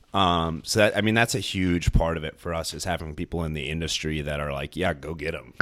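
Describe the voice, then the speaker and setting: The delivery runs at a fairly quick pace with hardly any pauses. Pitch variation is ordinary. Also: man, very deep, low pitch for a man. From Northern Virginia. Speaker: chef. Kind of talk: casual chat.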